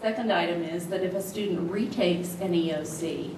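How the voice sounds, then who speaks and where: Woman with a fairly low pitch, noticeable background noise. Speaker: presenter. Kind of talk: formal report to a board. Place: meeting room.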